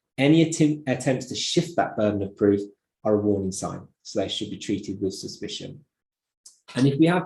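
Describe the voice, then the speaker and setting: A man with a Birmingham accent speaks at a moderate pace in a dark, mellow, somewhat breathy voice. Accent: Brummie. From Birmingham, England. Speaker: optometry lecturer. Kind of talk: lecture. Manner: hesitant fillers, repeats words.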